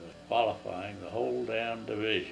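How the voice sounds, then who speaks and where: Faint music sits in the background. Over it, a man speaks. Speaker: war veteran. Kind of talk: casual recounting of war memories. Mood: relaxed, conversational. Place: home room. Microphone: old recording.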